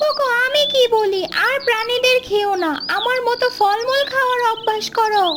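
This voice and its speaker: Loud background noise surrounds a cartoonish character voice that sounds female and sits at an extremely high pitch. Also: moderate pace. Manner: scolding.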